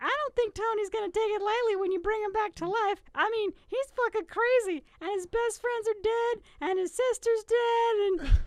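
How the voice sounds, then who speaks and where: A squeaky put-on character voice at an extremely high pitch, moderate pace and hardly any pauses. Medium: read story. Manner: brash, swearing.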